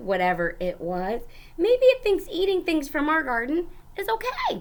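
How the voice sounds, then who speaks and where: Over light background noise, a woman uses a put-on character voice at an extremely high pitch and a moderate pace. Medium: read story. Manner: gentle.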